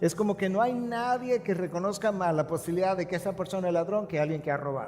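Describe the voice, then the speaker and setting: Over noticeable background noise, a man speaks very fast at a high pitch. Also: ordinary pitch variation. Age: 60s. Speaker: pastor. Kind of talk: sermon.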